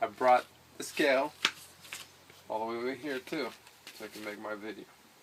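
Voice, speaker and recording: There is noticeable background noise. A man talks with ordinary pitch variation. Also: long, frequent pauses, big swings in loudness. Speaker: fitness vlogger. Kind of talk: casual video diary. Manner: halting, searching for words.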